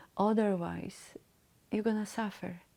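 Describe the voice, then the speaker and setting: A woman's dark, mellow tone in a non-native accent, with monotone, flat intonation. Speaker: mentor and motivational speaker. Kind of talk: solo talk to camera. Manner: halting, with hesitations.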